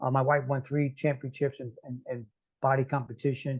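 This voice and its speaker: Somewhat breathy and medium in pitch, a man speaks at a moderate pace with monotone, flat intonation. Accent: American. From New York City. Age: 60s. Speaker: motivational speaker and coach. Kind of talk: casual interview. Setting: podcast interview. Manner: halting, frequent repetitions.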